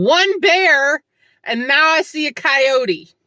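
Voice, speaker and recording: Raised and projected, the bright, sharp voice swings very widely in pitch at a very slow pace on a very clean recording with a silent background. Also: woman. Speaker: hiker vlogger. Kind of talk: reflective vlog monologue. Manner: loud.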